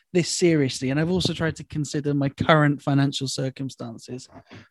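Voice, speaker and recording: A man speaks with an English accent at a moderate pace. The sound is dry and close with no echo, over a quiet background. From England. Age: 20s. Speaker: comedian. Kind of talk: casual chat.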